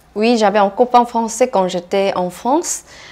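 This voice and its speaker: A woman's dark, mellow tone with lively intonation. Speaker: interviewee. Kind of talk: interview. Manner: halting.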